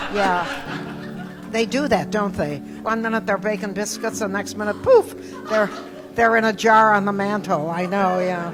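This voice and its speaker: A woman with a Midwestern accent talks at a moderate pace and medium pitch, her intonation fairly even. Long, frequent pauses break up her speech, with audible room echo and music in the background. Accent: American Midwest. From US Midwest, Toledo, Ohio. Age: 80s+. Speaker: comedian. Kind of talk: interview with stand-up excerpts.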